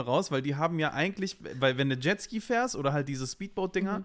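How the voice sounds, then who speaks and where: This man's intonation is lively. He speaks at a fairly quick pace. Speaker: podcast co-host. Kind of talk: casual chat. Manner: animated.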